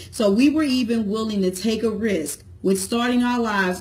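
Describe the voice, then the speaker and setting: Speaking with an American accent, a woman's voice sounds somewhat breathy, and her pitch varies in an ordinary way. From St. Louis, Missouri; Missouri. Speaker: entrepreneur, business vlogger, cosmetologist; business vlogger. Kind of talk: motivational talk to camera. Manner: casual, conversational. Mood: warm, encouraging. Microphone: phone near.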